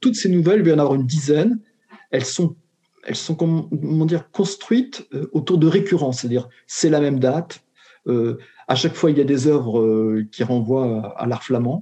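A man with a dark, mellow tone and fairly high pitch speaks at a moderate pace with lively intonation and long, frequent pauses. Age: 60s. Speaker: retired educator turned short story author. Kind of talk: interview. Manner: halting, many repetitions and hesitations.

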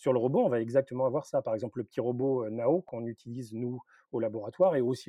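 Moving at a moderate pace, an ordinary speaking voice shows ordinary pitch variation. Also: man. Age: 50s. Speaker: university professor in robotics. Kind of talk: interview.

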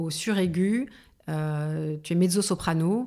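In a very clean recording with a silent background, a woman speaks at a fairly low pitch with ordinary pitch variation. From Paris suburbs, France. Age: 40s. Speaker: singer. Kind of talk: interview. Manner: halting, with many repetitions.

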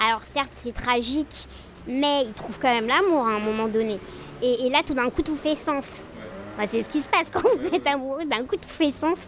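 A woman talks at a moderate pace with lively intonation and a high pitch. Noticeable background noise runs underneath. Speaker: lawyer. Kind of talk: casual interview about texts.

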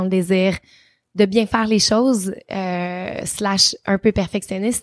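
With a Quebec accent, a woman speaks in a monotone, flat delivery at a medium pitch, the sound dry and close with no echo on a very clean recording with a silent background. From Quebec, Trois-Rivières. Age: 30s. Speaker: travel influencer and TV host. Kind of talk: interview.

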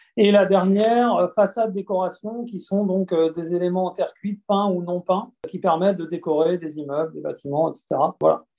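With fairly even intonation, a man talks in a high pitch and a dark, mellow tone. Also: moderate pace. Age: 40s. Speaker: digital and IT executive at an industrial company. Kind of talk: interview. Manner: halting, many fillers and repetitions.

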